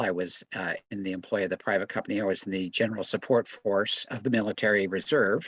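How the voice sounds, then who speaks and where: A man with a fairly low pitch talks at a fairly quick pace with ordinary pitch variation, in an unremarkable speaking voice. The sound is dry and close with no echo, against a quiet background. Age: 60s. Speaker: military veteran. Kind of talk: testimony. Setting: video call, camera off.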